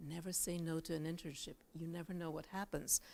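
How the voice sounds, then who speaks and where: The speaker has a Bulgarian accent. The recording is very clean, with a silent background. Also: woman. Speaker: journalist and news anchor. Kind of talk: talk to students. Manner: casual, with many fillers.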